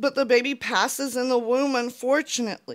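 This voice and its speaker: Speech at a fairly slow pace comes over a quiet background. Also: woman. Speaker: YouTuber. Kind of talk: personal vlog monologue; opinion commentary vlog. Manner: earnest, emotional. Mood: earnest, frustrated. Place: home room. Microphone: handheld.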